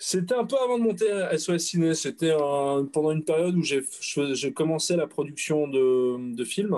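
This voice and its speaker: The tone is dark and mellow, with lively intonation. The pace is fairly slow, with hardly any pauses. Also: man, fairly high pitch for a man. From France. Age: 30s. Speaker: audiovisual rental business owner. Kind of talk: casual chat.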